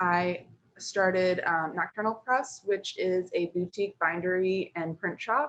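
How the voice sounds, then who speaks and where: Ordinary pitch variation in an American accent. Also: woman. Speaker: printmaker and book artist. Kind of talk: virtual studio presentation. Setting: video call. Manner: animated.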